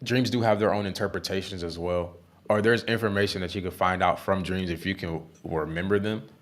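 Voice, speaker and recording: A man's fairly low voice at a fairly quick pace, with ordinary pitch variation. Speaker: Bible teacher. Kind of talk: Bible study discussion. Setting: live stream. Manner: halting; fast.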